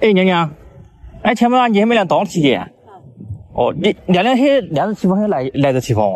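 A man with a high voice speaks at a moderate pace, his pitch swinging very widely. The sound is dry with no echo, and he leaves long, frequent pauses. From Hakka community, Sichuan. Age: young. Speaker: vlogger. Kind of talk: interview questions. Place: farm. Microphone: phone near.

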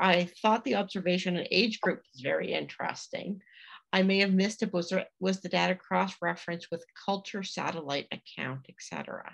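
A woman with a Canadian accent speaks with vocal fry against a quiet background. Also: big swings in loudness. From Atlantic Canada. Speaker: museum association executive director. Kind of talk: webinar hosting. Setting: video call. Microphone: video call.

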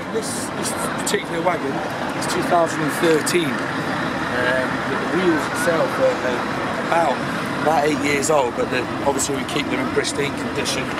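A man at a moderate pace with ordinary pitch variation, long and frequent pauses, a dry sound with no echo, and loud background noise. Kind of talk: interview answer. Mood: proud, cheerful. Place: street. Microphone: phone near.

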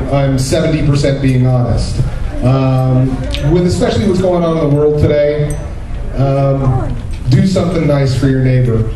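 A man's voice with ordinary pitch variation and long, frequent pauses, plus audible room echo and noticeable background noise. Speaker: voiceover actor guest. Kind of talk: convention panel talk. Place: hall.

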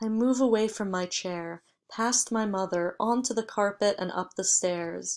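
With ordinary pitch variation and a quiet background, there is a natural reading voice.

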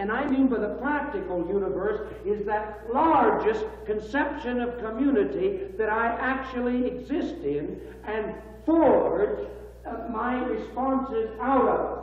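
Audible room echo surrounds speech delivered at a fairly slow pace. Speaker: institute dean lecturing. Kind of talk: lecture. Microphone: old recording.

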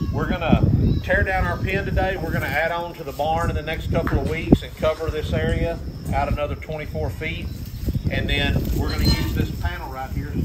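Speaking fairly quickly, a man can be heard through loud background noise. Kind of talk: casual vlog explanation. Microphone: camera far.

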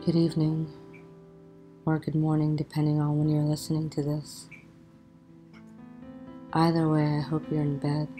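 Soft-spoken and in a soothing, gentle tone, a woman with a very deep, low pitch talks at a moderate pace and very even loudness, her monotone, flat intonation broken by long, frequent pauses while music plays in the background. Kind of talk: sleep story. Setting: bedtime relaxation narration with soft music. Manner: soft, soothing, gentle.

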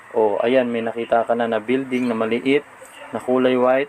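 A flat, monotone voice at a moderate pace over noticeable background noise. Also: man. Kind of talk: street-seller sales pitch, walking tour. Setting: outdoors at a warehouse.

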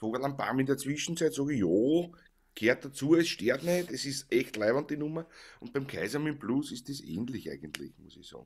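Using a Viennese accent, a man with a fairly high pitch and vocal fry speaks at a moderate pace with ordinary pitch variation. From Vienna, Austria; Austria. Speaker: Viennese folk musician, livestream co-host; livestream co-host. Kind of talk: casual chat. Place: home room. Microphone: studio mic.

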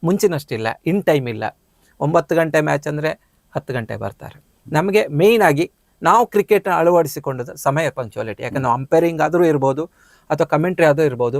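Here is a man with a normal speaking voice and fairly high pitch. His intonation is lively, and the sound is dry and close with no echo. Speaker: cricket commentator. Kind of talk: interview. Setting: studio.

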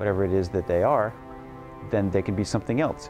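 A man with a fairly low voice talks over clear background music. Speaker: interviewee. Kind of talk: interview answer. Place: home room. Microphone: lapel.

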